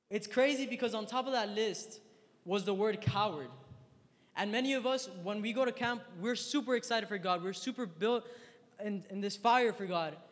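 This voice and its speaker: Over noticeable background noise, a man talks at a moderate pace in a high pitch, his tone animated and his pitch variation ordinary. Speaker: youth speaker. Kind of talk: sermon. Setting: stage with audience. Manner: animated, slangy.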